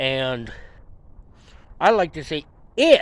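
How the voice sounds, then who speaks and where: With a Western Pennsylvania accent, a man talks at a fairly slow pace. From Pittsburgh, Pennsylvania. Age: 50s. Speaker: amateur mechanic and veteran. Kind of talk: casual vlog talk to camera. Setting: outdoors. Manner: halting, many fillers.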